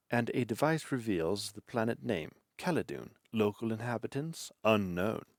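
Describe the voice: Over a quiet background, this is plain reading aloud with lively intonation.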